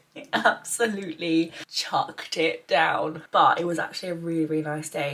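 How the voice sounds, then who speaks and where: A woman's voice in an English accent, with ordinary pitch variation. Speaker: lifestyle vlogger. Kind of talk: casual vlog. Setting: holiday cottage.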